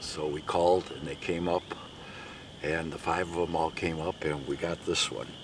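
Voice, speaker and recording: A man speaks at a moderate pace in a very deep, low pitch with monotone, flat intonation. Noticeable background noise is present. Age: 60s. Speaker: turkey hunter. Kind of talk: casual interview.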